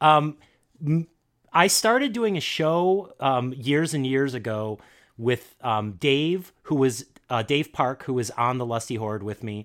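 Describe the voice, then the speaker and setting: The recording is very clean with a silent background, carrying a man's voice at a medium pitch. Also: lively intonation, fairly slow pace. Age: 40s. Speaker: comedian and podcaster. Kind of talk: casual chat. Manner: halting.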